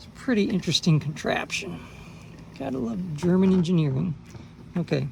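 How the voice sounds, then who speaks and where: A woman talks with ordinary pitch variation. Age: 60s. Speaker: car hobbyist video maker. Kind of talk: tutorial. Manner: casual, conversational.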